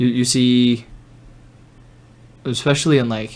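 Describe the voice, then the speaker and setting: This is a man speaking at a medium pitch. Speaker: podcast host. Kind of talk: casual chat.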